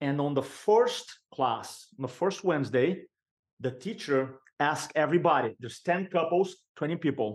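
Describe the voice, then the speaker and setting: A man speaks with a Brazilian accent at a fairly slow pace. His pitch is fairly high. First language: Portuguese. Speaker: sales and speaking coach. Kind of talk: podcast interview.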